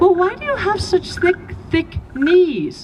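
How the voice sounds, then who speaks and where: Putting on a squeaky character voice, a woman speaks at an extremely high pitch with lively intonation and a fairly slow pace. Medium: read story. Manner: probing, questioning.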